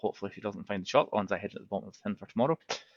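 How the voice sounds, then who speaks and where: A man with a northeast Scottish accent speaks at a medium pitch. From Aberdeen, northeast Scotland. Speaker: webinar participant. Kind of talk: casual introduction.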